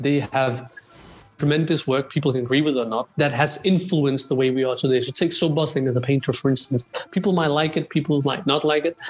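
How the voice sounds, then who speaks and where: A man talks at a fairly quick pace with very even loudness and fairly even intonation. His pitch is fairly high, and noticeable background noise is present. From Denmark. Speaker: Sikh history researcher. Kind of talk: casual interview on history.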